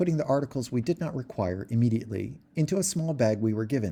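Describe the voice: Plain reading aloud with lively intonation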